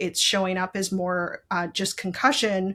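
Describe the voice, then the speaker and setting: A woman with an ordinary speaking voice talks at a moderate pace and medium pitch on a very clean recording with a silent background. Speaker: brain injury survivor and patient advocate. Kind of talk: interview, personal health story.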